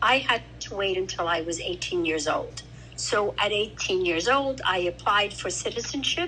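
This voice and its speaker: Speaking at a moderate pace, a woman talks with an Italian accent. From Italy, then New York from age eight. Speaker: grandmother and immigrant interviewee. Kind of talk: family interview, personal recollection.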